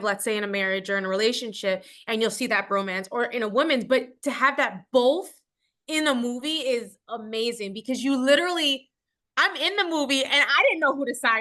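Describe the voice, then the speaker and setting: A loud, high-pitched woman's voice with a bright, sharp, animated tone, lively intonation and a fairly quick pace over a quiet background. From New York, Puerto Rican. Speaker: actress. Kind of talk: interview.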